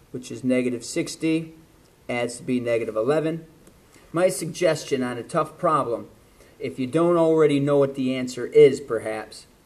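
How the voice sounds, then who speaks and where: Amid audible room echo, a man with fairly high pitch talks at a moderate pace. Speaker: math teacher. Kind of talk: lecture.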